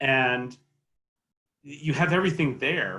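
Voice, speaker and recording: Here a man with a Texan accent speaks at a medium pitch in a bright, sharp tone with ordinary pitch variation. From Texas. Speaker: opera agent. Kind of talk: panel discussion.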